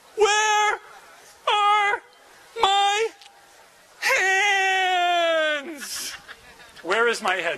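A shouted, put-on character voice at a very slow pace, with long, frequent pauses. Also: man, extremely high pitch for a man. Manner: mournful, wailing.

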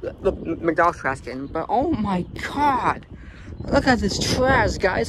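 A fairly slow pace, a dry sound with no echo, and noticeable background noise. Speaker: urban explorer vlogger. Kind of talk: casual vlog commentary. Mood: disgusted, exasperated. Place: street. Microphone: phone near.

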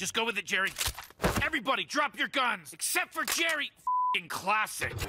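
A man uses a cartoonish character voice at an extremely high pitch, bright and sharp with a slightly husky edge, swinging widely in pitch at a moderate pace.

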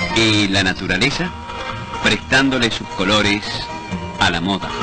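Clear music plays behind a man with a fairly low pitch who speaks at a fairly slow pace with ordinary pitch variation. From Argentina. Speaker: announcer. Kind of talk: newsreel commercial narration. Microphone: old recording.

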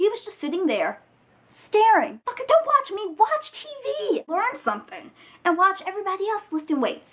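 This woman's voice sits extremely high and sounds animated, with very wide pitch swings. She keeps a moderate pace. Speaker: vlogger. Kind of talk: angry rant; casual vlog. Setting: video blog, alone on camera. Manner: animated, indignant, sassy, profane. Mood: annoyed, exasperated. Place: home room. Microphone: webcam.

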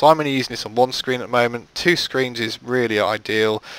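A man speaks with a British accent at a moderate pace. His pitch varies in an ordinary way. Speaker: game modding tutorial creator. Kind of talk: tutorial. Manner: casual with frequent filler words.

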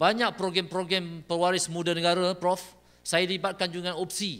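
The pace is moderate. The tone is bright and sharp. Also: man. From Malaysia. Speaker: government department director. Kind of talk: official opening speech. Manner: formal. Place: hall. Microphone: podium.

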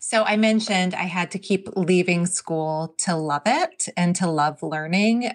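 A normal speaking voice with an American accent at a fairly slow pace, dry and close with no echo, in a very clean recording with a silent background. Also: woman. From New Jersey. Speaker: author and education consultant. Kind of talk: interview.

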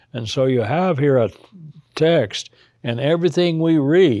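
A man speaks at a fairly slow pace with a dark, mellow tone. His pitch varies in an ordinary way against a quiet background. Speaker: Bible teacher. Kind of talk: lecture. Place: studio.

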